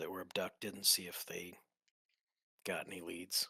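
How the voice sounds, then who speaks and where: At a moderate pace, a man performs a raspy put-on character voice. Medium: actual play.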